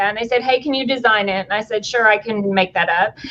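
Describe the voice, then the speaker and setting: Animated in tone, a woman talks at a fairly high pitch with a Tennessee accent. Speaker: company executive. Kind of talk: casual interview chat.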